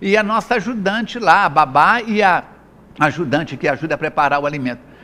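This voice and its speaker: Bright and sharp in tone, a man speaks at a moderate pace with lively intonation. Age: 60s. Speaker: health speaker and spiritist lecturer. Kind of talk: interview. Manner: animated.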